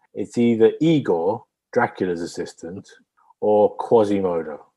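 A man with a British accent and a dark, mellow tone, at a fairly slow pace. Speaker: co-host guessing accents. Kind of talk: casual banter, comedy film game. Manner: playful, jokey.

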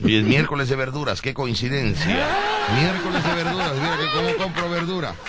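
Amid noticeable background noise and audible room echo, a man with a fairly high pitch talks at a moderate pace with lively intonation. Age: 40s. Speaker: radio host. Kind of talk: comedy radio show. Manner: animated.

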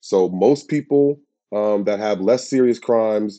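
A man with an American accent, fairly low in pitch, his tone dark and mellow, at a moderate pace with fairly even intonation. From USA. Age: 30s. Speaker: criminal justice campaigner. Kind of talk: interview.

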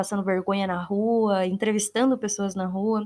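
A woman speaks at a medium pitch in a flat, monotone delivery, captured in a very clean recording with a silent background. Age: 20s. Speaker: content creator, YouTuber. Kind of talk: casual solo monologue.

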